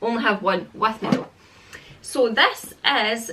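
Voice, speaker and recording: At a fairly slow pace, a woman with a Scottish accent and a fairly high pitch talks over noticeable background noise. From Scotland. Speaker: parenting vlogger. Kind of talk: casual product review vlog. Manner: rambling, chatty.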